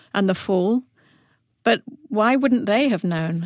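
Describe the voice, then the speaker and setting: On a very clean recording with a silent background, a woman with an English accent speaks at a medium pitch with ordinary pitch variation, the sound dry and close with no echo. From Africa, then schooled in England. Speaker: children's book author. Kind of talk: interview.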